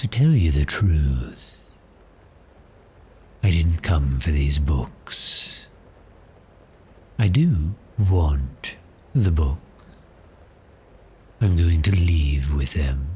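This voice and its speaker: A man uses a put-on character voice with a very deep, low pitch. He goes very slowly, with long, frequent pauses. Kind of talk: ASMR roleplay. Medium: solo performance. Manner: smooth, teasing, seductive.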